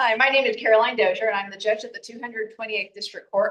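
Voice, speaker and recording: At a very fast pace, the speaker talks in an American accent amid noticeable background noise. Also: woman. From Texas, El Paso. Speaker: judge and political candidate. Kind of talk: campaign speech at community meeting.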